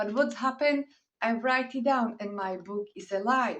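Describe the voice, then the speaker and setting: A woman speaks with a Slovak accent. Her pitch sits fairly high. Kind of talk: inspirational talk.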